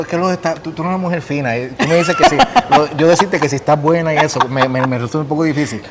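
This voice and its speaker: A man with a Puerto Rican accent speaks at a very fast pace, his pitch fairly high with ordinary variation. Noticeable background noise runs underneath. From Puerto Rico. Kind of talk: casual conversation.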